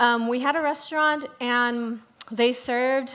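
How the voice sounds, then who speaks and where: With an American accent, a woman speaks at a fairly slow pace in a high pitch and a bright, sharp tone. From US South, Louisiana (Shreveport). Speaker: food writer, moderator. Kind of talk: panel discussion.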